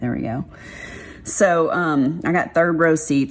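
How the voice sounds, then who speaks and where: Over noticeable background noise, a woman with a Texas accent talks at a moderate pace with ordinary pitch variation. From Texas, Dallas. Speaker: craft vlogger. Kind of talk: casual chat.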